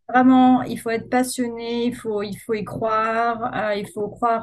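A woman's voice with fairly high pitch. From Corsica, France (Ajaccio). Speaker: marketing agency founder. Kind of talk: interview. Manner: hesitant, frequent fillers.

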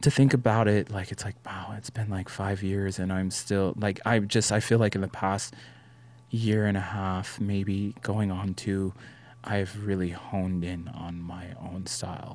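In a normal speaking voice, a man with an American accent talks at a fairly slow pace, his fairly low pitch following a fairly even intonation. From Las Vegas, US. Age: 20s. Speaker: photographer. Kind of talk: casual chat.

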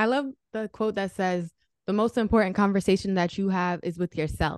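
An unremarkable speaking voice with ordinary pitch variation over a quiet background. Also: woman. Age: 20s. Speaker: podcast host. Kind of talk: podcast interview. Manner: excitable.

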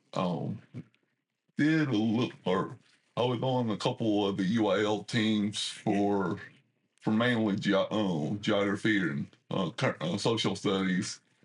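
Speaking at a very slow pace with long, frequent pauses, a man with a Southeast Texas accent uses a fairly low pitch and ordinary pitch variation. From Southeast Texas, Port Arthur area. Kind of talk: interview. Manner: halting, many fillers and repetitions.

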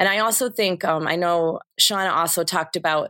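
A woman with an American accent, fairly low in pitch, at a moderate pace, in a very clean recording with a silent background and a dry, close sound with no echo. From northern Michigan. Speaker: school principal. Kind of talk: interview.

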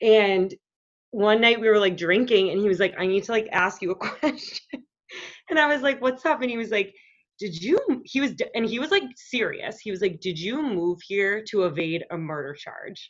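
A woman with an American accent has an unremarkable speaking voice and a fairly high pitch. Her intonation is lively, and the background is quiet. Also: moderate pace. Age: 30s. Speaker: podcast guest. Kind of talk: casual chat.

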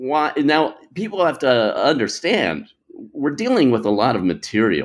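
A man's voice, fairly high in pitch with vocal fry, moves through very wide pitch swings. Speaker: political scholar. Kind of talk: interview.

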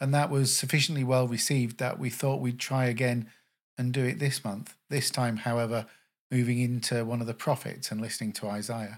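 A normal speaking voice from a man, medium in pitch, at a fairly quick pace with fairly even intonation, on a very clean recording with a silent background. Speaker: podcast host. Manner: warm, calm, welcoming.

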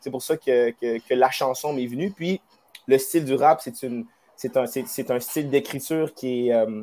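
The speaker has a normal speaking voice with ordinary pitch variation. The pace is fairly slow. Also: man. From Wendake, Quebec. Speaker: musician. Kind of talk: interview. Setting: live stream.

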